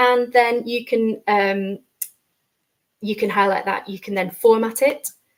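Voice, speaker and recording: A woman with a northern accent speaks at a fairly slow pace, pausing long and often. Her fairly high voice stays monotone and flat. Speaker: educator presenting a session. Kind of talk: tutorial. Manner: hesitant, many fillers.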